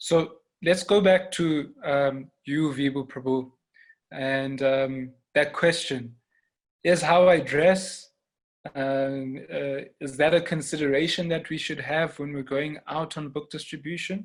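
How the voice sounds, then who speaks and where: A man with a Zulu accent talks at a very slow pace. His pitch is fairly high and his intonation fairly even. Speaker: panel moderator. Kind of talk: online panel discussion. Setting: online conference.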